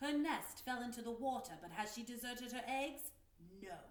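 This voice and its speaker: A woman performs a put-on character voice, pitched high at a moderate pace. Slight echo hangs on the recording. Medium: read story. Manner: commanding, theatrical.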